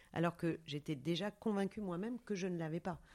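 A woman speaks in a fairly low voice with a dark, mellow tone. The recording is very clean, with a silent background. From Paris, France. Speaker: yoga studio founder and author. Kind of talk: interview. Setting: outdoors in a vineyard. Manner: halting, many hesitations.

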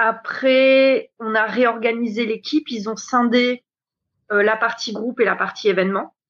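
Speaking at a fairly slow pace, a woman keeps her fairly high voice in a fairly even intonation. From New Caledonia. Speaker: hotel events director. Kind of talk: interview.

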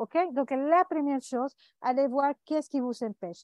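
A woman with a Spanish accent speaks at a very slow pace in a high voice with a dark, mellow tone. The sound is dry and close, with no echo. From Venezuela. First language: Spanish (speaking French). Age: 50s. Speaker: life coach and author. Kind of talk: interview. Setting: remote call. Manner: halting.

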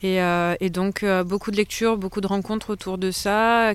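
On a very clean recording with a silent background, the speaker goes at a moderate pace in a monotone, flat intonation. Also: woman. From France, Pays d'Arles, Provence. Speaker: eco-site co-founder. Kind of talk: interview. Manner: halting.

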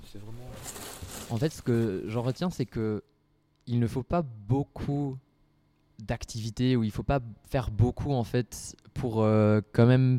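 A man with a medium pitch and a dark, mellow tone speaks at a very slow pace. His intonation stays fairly even, with long, frequent pauses. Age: 20s. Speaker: student association president. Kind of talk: casual interview talk. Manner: halting.

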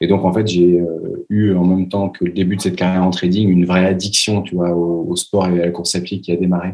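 The man's pitch is very deep and low. His intonation is monotone and flat. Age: 30s. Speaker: entrepreneur, travel agency founder. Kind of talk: interview conversation. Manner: hesitant, many fillers and repetitions.

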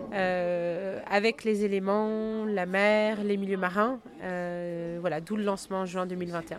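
Over background music and audible room echo, a woman speaks very slowly in a medium pitch with fairly even intonation. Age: 40s. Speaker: founder of an ocean exploration school. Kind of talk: interview. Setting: on location near Saint-Malo. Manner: halting, many fillers and repetitions.

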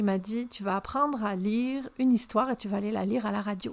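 An unremarkable speaking voice from a woman, fairly high in pitch, at a moderate pace with fairly even intonation, in a very clean recording with a silent background. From France. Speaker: podcast host, communication consultant. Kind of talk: solo podcast monologue.

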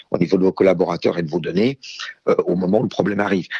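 Dry and close with no echo, a man's voice sits at a fairly low pitch with ordinary pitch variation. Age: 50s. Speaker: IT strategy director. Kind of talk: interview. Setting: phone call.

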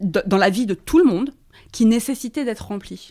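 The recording is very clean, with a silent background. A woman with a plain, everyday voice speaks at a fairly high pitch and a moderate pace, with ordinary pitch variation. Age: 40s. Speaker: feminist author and journalist. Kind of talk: casual chat.

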